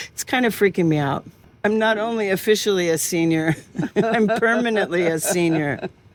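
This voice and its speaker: With music in the background, a woman with a General American accent talks at a moderate pace, medium pitch, and ordinary pitch variation. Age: 60s. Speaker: podcast host. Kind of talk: interview conversation.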